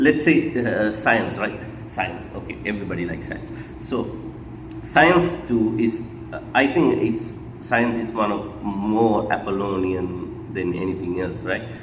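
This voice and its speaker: The speaker uses lively intonation at a fairly slow pace. Noticeable background noise and audible room echo fill the recording. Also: man. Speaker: book discussion vlogger. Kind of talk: casual book commentary monologue. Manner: hesitant, many fillers and repetitions; mumbling.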